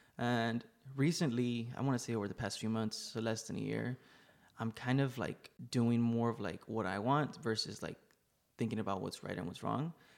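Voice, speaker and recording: A plain, everyday voice from a man with an American accent, medium pitch, ordinary pitch variation and a moderate pace. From Laredo, Texas. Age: 20s. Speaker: photographer. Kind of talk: casual chat. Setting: studio.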